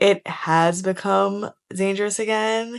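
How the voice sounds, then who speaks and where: A woman with a New York accent and ordinary pitch variation. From New York City, Lower East Side Manhattan. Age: 30s. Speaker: vlogger and creative director. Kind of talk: casual vlog chat.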